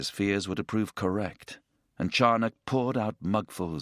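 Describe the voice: The recording captures plain reading aloud, and the background stays quiet.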